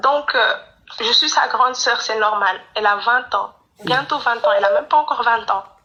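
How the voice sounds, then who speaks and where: This woman's voice sits high in pitch, with ordinary pitch variation. She talks at a moderate pace. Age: 20s. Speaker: caller. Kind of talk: testimony. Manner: halting.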